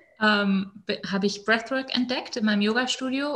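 At a moderate pace, a normal speaking voice delivers its words with fairly even intonation. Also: woman. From northern Germany, Hannover area. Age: 30s. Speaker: breathwork and women's coach. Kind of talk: personal testimony in casual interview.

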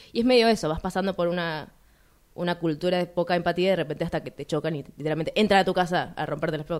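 With fairly even intonation, a woman of fairly low pitch speaks at a very fast pace. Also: very clean recording, silent background. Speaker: radio film show co-host. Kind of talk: casual chat.

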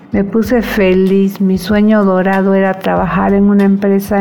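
A woman talks at a fairly slow pace in a medium pitch, with noticeable background noise behind her. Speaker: cooperative member telling life story. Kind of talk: personal testimony.

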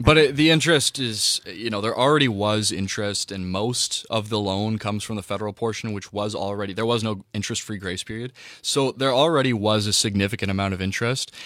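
Talking at a very fast pace, a man with a Canadian accent has a fairly low pitch and ordinary pitch variation. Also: hardly any pauses. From Ontario, Canada (Whitby). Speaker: student panelist. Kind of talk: panel discussion.

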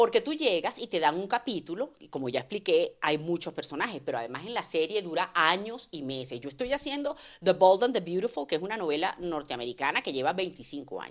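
A woman's fairly low voice at a fairly quick pace with hardly any pauses, very wide pitch swings and big swings in loudness, on a very clean recording with a silent background. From Venezuela. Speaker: voice actress. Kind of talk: casual chat.

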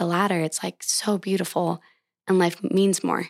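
With an American accent, this is a plain, everyday voice at a moderate pace with fairly even intonation, recorded with a dry, close sound and no echo. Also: woman. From Montana, Bozeman area. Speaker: endurance runner. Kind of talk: interview.

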